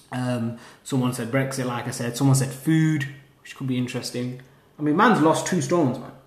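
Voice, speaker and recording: With noticeable background noise and audible room echo, a man talks at a fairly quick pace with fairly even intonation and big swings in loudness. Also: medium pitch for a man. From northern England, Lancashire (Haslingden). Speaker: university student podcaster. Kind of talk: casual solo monologue.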